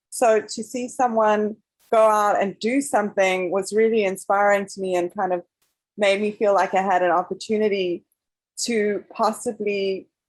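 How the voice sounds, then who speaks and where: On a very clean recording with a silent background, a woman with a non-native accent speaks at a medium pitch and a moderate pace with fairly even intonation. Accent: foreign. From South Africa. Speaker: documentary filmmaker. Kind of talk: panel interview.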